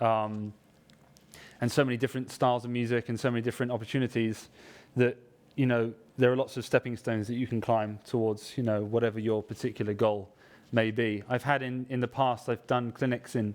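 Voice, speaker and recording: A man speaks in a southern English accent at medium pitch. His pace is fairly quick and his intonation monotone and flat. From southwest England (Somerset). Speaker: trumpet player. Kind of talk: workshop talk to live audience. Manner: casual, hesitant with fillers.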